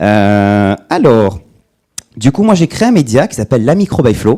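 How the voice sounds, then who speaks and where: At a very slow pace, a man with a dark, mellow tone makes very wide pitch swings, the sound dry and close with no echo. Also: very clean recording, silent background. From southwest France (Agen). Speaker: micro-business educator, conference speaker. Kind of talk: conference talk. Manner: casual, interactive.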